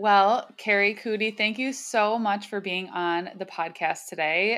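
A woman with an ordinary speaking voice and fairly even intonation is heard on a very clean recording with a silent background. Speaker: podcast host, chiropractor. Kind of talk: casual interview chat.

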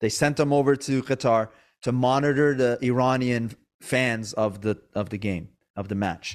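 A man has an ordinary speaking voice at a medium pitch, with ordinary pitch variation. He keeps a moderate pace on a very clean recording with a silent background. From Iran, moved to US at eight. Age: 30s. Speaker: podcast host, comedian and actor. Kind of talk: casual interview chat.

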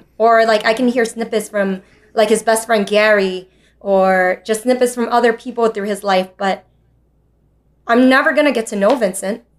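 Someone with an American accent talks at a moderate pace in an unremarkable speaking voice. Pitch variation is ordinary. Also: woman. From New York City. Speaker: teacher. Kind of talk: interview.

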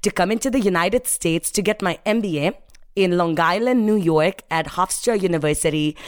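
With an Indian accent, a woman talks in an animated tone at a moderate pace, her medium pitch showing ordinary variation. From Mumbai, India. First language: Hindi. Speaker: sales professional and speaker. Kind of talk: interview, storytelling with motivational tone. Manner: animated, motivational.

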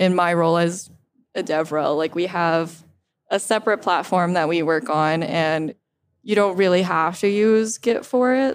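With an unremarkable speaking voice, a woman talks at a moderate pace in a fairly low pitch, showing ordinary pitch variation and very even loudness on a very clean recording with a silent background. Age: 20s. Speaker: developer advocate. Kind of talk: casual chat. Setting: conference recording.

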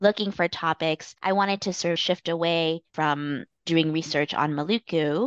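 In a normal speaking voice, a woman with a Canadian accent speaks at a fairly low pitch. Her pace is moderate and the background is quiet. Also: dry, close sound with no echo. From Canada. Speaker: political science professor. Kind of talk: academic interview.

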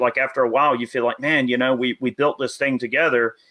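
A man's medium-pitched voice with a Southern US accent. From US South. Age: 30s. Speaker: gun YouTuber and army veteran. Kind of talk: casual chat.

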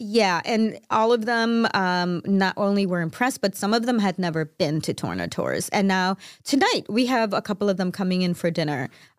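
A woman with a normal speaking voice and an American accent talks at a moderate pace with hardly any pauses. Her pitch is medium with ordinary variation, on a very clean recording with a silent background. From Chicago, US Midwest. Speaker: co-host. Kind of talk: casual chat. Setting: studio. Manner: laughs often.

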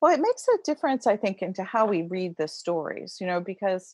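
A woman with an American accent has an ordinary speaking voice and lively intonation at a fairly quick pace. The sound is dry and close with no echo, over a quiet background. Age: 60s. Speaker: religious historian. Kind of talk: interview.

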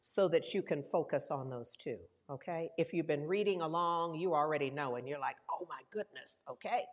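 A woman's unremarkable speaking voice, fairly low in pitch, at a moderate pace with ordinary pitch variation. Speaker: minister. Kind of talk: sermon. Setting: church. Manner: warm, informal, laughs often.

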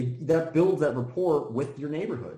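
Amid audible room echo, a man with a dark, mellow, somewhat breathy tone speaks at a moderate pace with lively intonation. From US, Washington D.C. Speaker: local political candidate. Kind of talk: casual interview.

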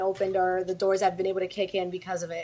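A very fast pace with a Spanish accent. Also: woman. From New York City, Dominican family. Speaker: pro wrestler. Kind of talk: interview.

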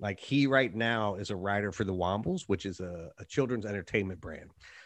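A man with an ordinary speaking voice talks at a fairly quick pace in a fairly low pitch, with lively intonation and a quiet background. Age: 40s. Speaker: podcast host interviewing authors. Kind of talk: casual interview chat. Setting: home studio with dog.

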